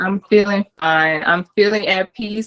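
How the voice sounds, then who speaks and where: Bright and sharp in tone, a woman at medium pitch with ordinary pitch variation and a slight New Orleans accent speaks at a fairly slow pace in a dry, close sound with no echo. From New Orleans, US South. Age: 30s. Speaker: content creator. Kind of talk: interview.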